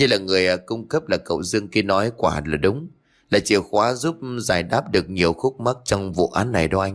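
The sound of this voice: An unforced reading voice, its pitch varying in an ordinary way.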